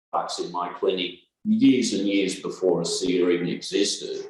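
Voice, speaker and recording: A man speaks with an Australian accent at a moderate pace. There is audible room echo. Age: 60s. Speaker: chiropractor and naturopath. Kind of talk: interview.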